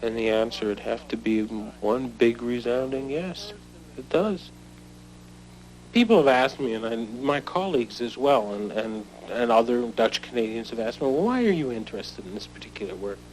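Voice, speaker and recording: Speaking at a moderate pace, a man has a normal speaking voice with medium pitch and ordinary pitch variation. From Netherlands, raised in Canada from age five. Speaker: history teacher. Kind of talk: documentary interview.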